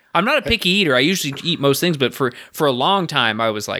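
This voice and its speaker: On a very clean recording with a silent background, a man talks very fast at a medium pitch with lively intonation, a bright, sharp tone and vocal fry. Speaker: podcast co-host. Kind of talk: casual chat. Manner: joking, banter-heavy.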